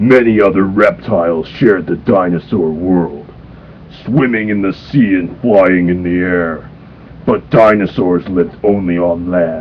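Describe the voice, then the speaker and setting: A man puts on a cartoonish character voice with a very deep, low pitch. He goes at a moderate pace over clear background noise. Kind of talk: cartoon impression. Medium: read story. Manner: gruff, stern.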